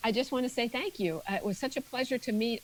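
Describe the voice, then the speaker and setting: Talking at a fairly quick pace, a woman uses lively intonation in an unremarkable speaking voice. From Maryland, US. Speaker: retired navy pilot and leadership speaker. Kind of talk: interview.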